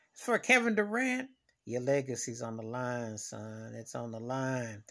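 A man speaks at a moderate pace. Behind him, the background is quiet. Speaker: sports fan vlogger. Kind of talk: casual vlog commentary. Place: home room. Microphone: phone near.

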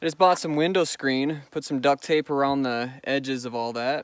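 A man speaks at a moderate pace with fairly even intonation. The sound is dry with no echo. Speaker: vehicle dweller vlogger. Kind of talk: casual vlog chat. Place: open country. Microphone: phone near.

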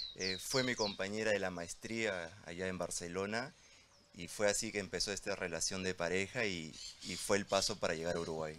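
In a bright, sharp tone with fairly even intonation, the voice moves at a moderate pace over noticeable background noise. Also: man, very deep, low pitch for a man. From Peru. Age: young. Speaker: entrepreneur, debt collection business; panelist. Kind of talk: panel discussion. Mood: relaxed, friendly. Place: waterside. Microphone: handheld.

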